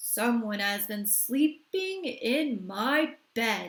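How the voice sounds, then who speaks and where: Using a put-on character voice, a woman growls at a very slow pace with a fairly high pitch. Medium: read story.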